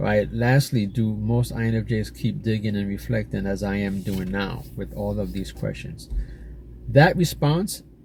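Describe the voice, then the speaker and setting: This man has a very deep, low pitch, an American accent, vocal fry and very wide pitch swings. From New York City. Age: 40s. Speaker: YouTuber. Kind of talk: casual monologue reading AI responses aloud. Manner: halting.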